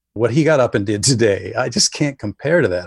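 Somewhat breathy, a man with an American accent speaks at a fairly quick pace. His medium pitch swings very widely. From northern Wisconsin. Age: 50s. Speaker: writer. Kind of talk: casual chat. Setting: remote interview from home.

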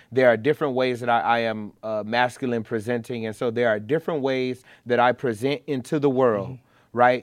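In a plain, everyday voice, a man with an American accent talks at a fairly quick pace with hardly any pauses. His pitch is medium, his intonation fairly even, and the background quiet. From Chicago. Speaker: activist and community organizer. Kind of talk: casual interview chat.

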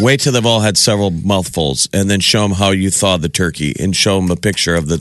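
A man with an American accent has a plain, everyday voice. His pitch is fairly low, with ordinary variation. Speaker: radio show host. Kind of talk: casual radio banter. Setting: radio studio.

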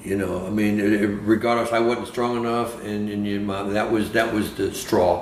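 This man talks at a moderate pace with hardly any pauses, his pitch fairly low. His intonation stays monotone and flat over noticeable background noise. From San Francisco Bay Area. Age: 70s. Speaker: retired professional bowler. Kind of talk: casual chat.

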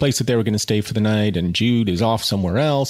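The words are read aloud in a natural voice.

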